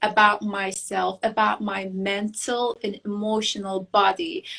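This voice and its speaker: A woman with a Turkish accent speaks at a very slow pace in a fairly high pitch with a bright, sharp tone. Her intonation is fairly even, on a very clean recording with a silent background. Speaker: beauty queen and architect. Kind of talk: interview. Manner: halting.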